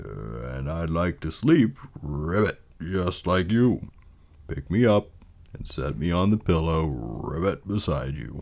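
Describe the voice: A man puts on a croaky character voice, very deep and low in pitch. He speaks at a fairly slow pace.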